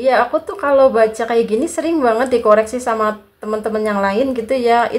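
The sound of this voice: A woman speaks at a fairly quick pace, her fairly high voice moving with ordinary pitch variation.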